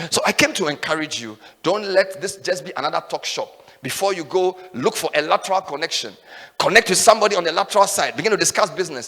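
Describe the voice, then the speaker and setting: Shouting in a raised, projected voice, a man talks very fast at a high pitch with an animated tone, lively intonation and big swings in loudness against noticeable background noise. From Ghana, Volta region. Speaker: radio and TV host, conference speaker. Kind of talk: motivational speech. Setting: stage with audience. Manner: loud, shouting.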